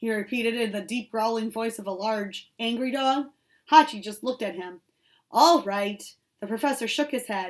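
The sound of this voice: Against a quiet background, the reading voice sounds unforced.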